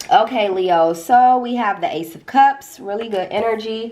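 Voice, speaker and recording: A woman speaks at a very slow pace. Noticeable background noise runs beneath her. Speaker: tarot reader. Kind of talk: tarot reading. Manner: casual, conversational.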